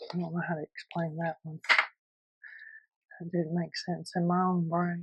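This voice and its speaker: A soft-spoken woman's fairly low, somewhat breathy voice, flat and monotone, with a dry, close sound and no echo. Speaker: junk journal crafter. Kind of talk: tutorial.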